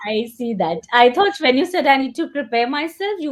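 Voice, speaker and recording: A woman with an Indian accent at a fairly quick pace. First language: Hindi. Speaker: English coach. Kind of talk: one-on-one spoken English lesson. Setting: video call.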